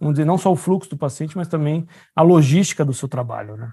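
A man speaks fairly quickly in a dark, mellow tone with lively intonation. The sound is dry and close with no echo, on a very clean recording with a silent background. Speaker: orthopedic surgeon. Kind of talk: casual chat.

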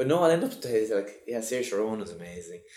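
A man speaks with a Cork accent. Noticeable background noise can be heard. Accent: Cork Irish. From Ireland, Cork. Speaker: actor. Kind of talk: casual interview. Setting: office.

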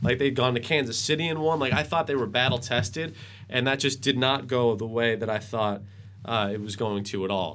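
Speaking at a fairly quick pace, a man with an ordinary speaking voice and an American accent talks at medium pitch with ordinary pitch variation. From Worcester, Massachusetts. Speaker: sports anchor and radio host. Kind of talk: casual sports interview.

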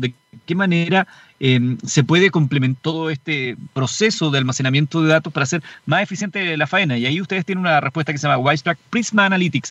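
Speaking very fast in a Chilean accent, a man uses a fairly high pitch with ordinary pitch variation. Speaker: radio host. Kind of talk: radio DJ patter. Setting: car mobile studio, live. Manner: upbeat, brisk radio-announcer delivery with time checks.

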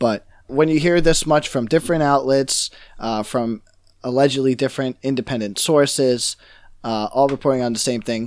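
In a very clean recording with a silent background, a man with an American accent uses a normal speaking voice, medium in pitch, with ordinary pitch variation at a moderate pace. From New York. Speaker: gaming podcast co-host. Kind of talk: casual chat.

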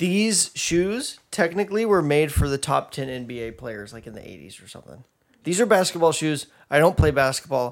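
Speaking in a normal speaking voice, a man with a fairly high pitch keeps a moderate pace and lively intonation. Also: big swings in loudness. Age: 20s. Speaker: podcast co-host. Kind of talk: casual chat.

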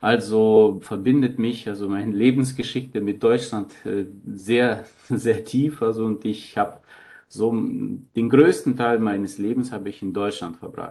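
A man talks at a medium pitch in a dark, mellow tone. His pace is fairly slow and his intonation fairly even. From Germany (Thuringia, raised by Ukrainian parents). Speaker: priest. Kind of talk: interview. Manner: hesitant, with fillers.

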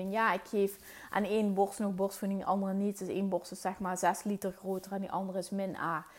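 The woman talks at a fairly quick pace in a medium pitch. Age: 30s. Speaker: podcast host, mindset coach. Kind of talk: solo monologue podcast. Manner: casual, hesitant with fillers.

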